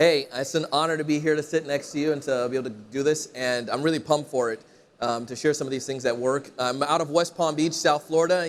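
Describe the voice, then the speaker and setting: Speaking very fast, a man's voice sits fairly high in pitch. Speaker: sales trainer and company founder. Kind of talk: stage talk with audience interaction. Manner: energetic.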